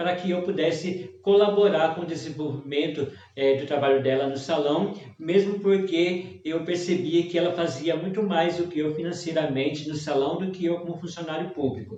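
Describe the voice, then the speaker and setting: A man with a Minas Gerais accent, high-pitched, at a moderate pace with fairly even intonation, amid noticeable background noise and audible room echo. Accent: Mineiro Brazilian Portuguese. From Minas Gerais, Brazil. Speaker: hairdresser and technical trainer. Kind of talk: live-stream lecture. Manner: hesitant.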